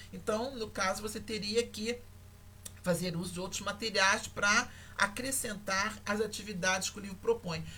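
A woman at a moderate pace, her intonation fairly even, with audible room echo. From Brazil, Rio de Janeiro. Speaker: university lecturer in language teaching. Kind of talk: online lecture. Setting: livestream. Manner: hesitant, many fillers.

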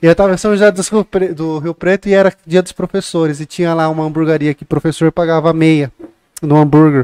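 A man with a fairly high voice and dark, mellow tone speaks at a fairly quick pace with fairly even intonation and big swings in loudness, the sound dry and close with no echo. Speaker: podcast host. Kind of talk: casual podcast chat. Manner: joking, informal.

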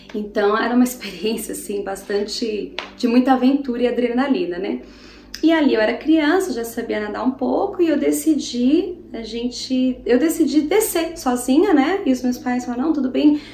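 A woman with a high pitch speaks at a moderate pace and lively intonation amid noticeable background noise and audible room echo. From Brazil, interior of São Paulo state. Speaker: preacher. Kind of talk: sermon. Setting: home living room.

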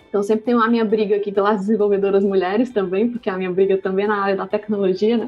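Music plays in the background as a woman talks at a very fast pace. Her intonation is monotone and flat, with hardly any pauses. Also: medium pitch for a woman. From Ceará, Brazil. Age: 20s. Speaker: startup co-founder. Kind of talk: casual interview. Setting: remote recording.

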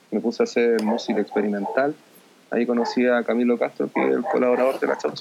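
A man speaks with a Chilean accent at a fairly quick pace and a medium pitch. Noticeable background noise is present. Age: 20s. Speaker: software developer. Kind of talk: casual interview.

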